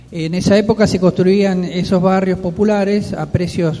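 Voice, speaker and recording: A man with a high-pitched voice talks at a moderate pace with fairly even intonation over noticeable background noise. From Argentina, Quilmes (Buenos Aires). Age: 60s. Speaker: neighborhood leader. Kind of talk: radio interview.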